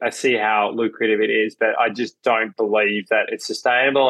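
An Australian-accented man talks at a fairly quick pace in a flat monotone at medium pitch. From Melbourne, Australia. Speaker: entrepreneur, cafe chain founder. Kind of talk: interview.

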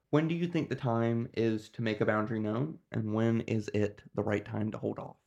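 A man talks at a medium pitch and a moderate pace, with hardly any pauses. He has an unremarkable speaking voice and ordinary pitch variation. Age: 20s. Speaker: podcast co-host. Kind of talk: casual discussion.

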